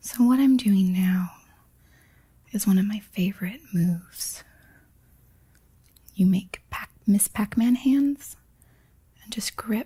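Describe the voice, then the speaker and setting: Speaking very slowly with long, frequent pauses, a woman uses a medium pitch, ordinary pitch variation, and a gentle, dark, mellow, somewhat breathy tone. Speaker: massage instructor. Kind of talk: instructional massage tutorial narration. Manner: soft-spoken, gentle.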